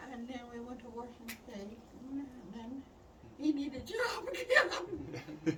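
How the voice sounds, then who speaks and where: A woman with lively intonation at a fairly slow pace, against noticeable background noise. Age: 80s+. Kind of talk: casual conversational storytelling. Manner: rambling, halting.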